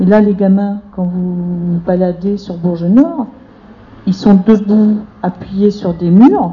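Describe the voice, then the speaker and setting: Through noticeable background noise, a woman speaks very slowly at medium pitch. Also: ordinary pitch variation. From rural France. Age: 50s. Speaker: debate participant, unemployed social worker. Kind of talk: public group discussion.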